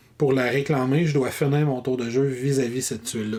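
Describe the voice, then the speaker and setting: This man's voice sits at a medium pitch, with a Quebec accent. Background noise is noticeable. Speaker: board game reviewer. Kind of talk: rules tutorial. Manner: fast.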